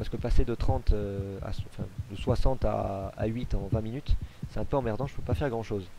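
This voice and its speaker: A man's fairly low, dark, mellow voice with vocal fry at a fairly quick pace. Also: ordinary pitch variation. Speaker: gaming video creator. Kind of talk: Let's Play commentary. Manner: hesitant, many fillers.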